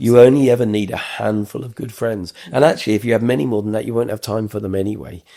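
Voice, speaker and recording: A man with a fairly low pitch talks at a very fast pace with hardly any pauses. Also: ordinary pitch variation, big swings in loudness. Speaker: podcast host. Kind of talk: interview question.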